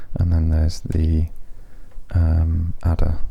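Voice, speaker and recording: A man's monotone, flat delivery amid noticeable background noise. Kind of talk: ASMR nature walk narration. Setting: outdoors in a nature reserve. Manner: soft-spoken, whispering.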